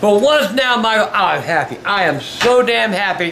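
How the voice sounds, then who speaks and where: Pitched high, a man speaks at a moderate pace with ordinary pitch variation. Some light background noise is present. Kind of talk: emotional casual talk. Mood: happy, emotional. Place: home room. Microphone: phone near.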